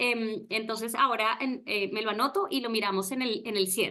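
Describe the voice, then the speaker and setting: A woman speaks with a bright, sharp tone. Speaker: webinar moderator. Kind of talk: online presentation. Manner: hesitant, many fillers.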